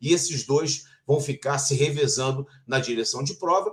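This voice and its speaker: A man talks at a moderate pace, his voice somewhat breathy and his intonation fairly even. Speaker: sports journalist and broadcaster, Formula 1 TV narrator. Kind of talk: interview answer about Formula 1.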